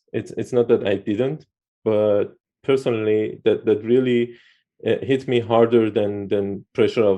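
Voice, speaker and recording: A man's fairly low voice with a non-native accent, fairly even intonation and a moderate pace. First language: not English. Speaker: YouTube interviewer, Android developer. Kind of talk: casual interview. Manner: halting.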